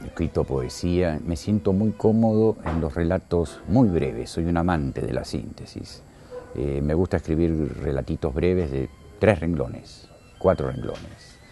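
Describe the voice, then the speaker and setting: Very deep, low male speech in a dark, mellow tone, fairly slow, with lively intonation. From Argentina, Buenos Aires then Córdoba from age 14. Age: 60s. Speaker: writer and radio presenter. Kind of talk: interview.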